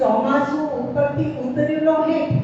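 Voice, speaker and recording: A woman amid noticeable background noise. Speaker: poet. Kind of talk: poetry reading at a literary gathering.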